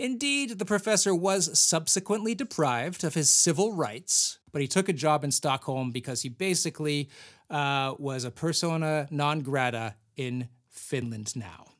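On a very clean recording with a silent background, a man uses an ordinary speaking voice, fairly high in pitch, with lively intonation at a moderate pace. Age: 40s. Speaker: history podcast host. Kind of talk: reading aloud with casual comedic commentary.

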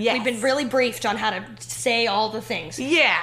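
A woman with fairly high pitch and ordinary pitch variation speaks in an unremarkable speaking voice. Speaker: TV writer and actress. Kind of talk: casual interview chat.

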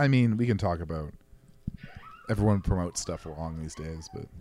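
A man with a very deep, low pitch talks at a fairly quick pace with lively intonation. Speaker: podcast co-host. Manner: casual, conversational.

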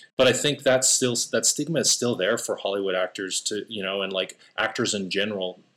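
Pitched fairly low, a man with a normal speaking voice goes along at a moderate pace, his pitch varying in an ordinary way. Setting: video call.

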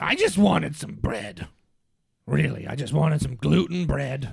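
Doing a raspy put-on character voice, a man talks at a moderate pace with very wide pitch swings. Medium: comedy sketch. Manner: goofy, jokey.

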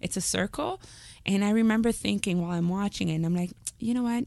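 Against a quiet background, a woman speaks very fast in a dark, mellow tone with ordinary pitch variation. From Montreal, Quebec. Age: 30s. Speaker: comedian. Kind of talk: comedic storytelling.

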